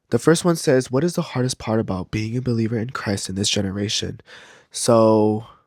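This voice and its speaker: Talking at a fairly quick pace, a man has an unremarkable speaking voice with an American accent, a medium pitch and ordinary pitch variation. The recording is very clean, with a silent background. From California. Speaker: podcast host. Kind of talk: casual monologue.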